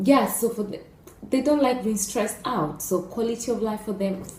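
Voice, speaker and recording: Audible room echo and noticeable background noise surround a speaker with an East African accent. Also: woman. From Kenya. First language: Swahili. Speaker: YouTuber. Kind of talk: casual vlog talk. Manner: hesitant, many fillers.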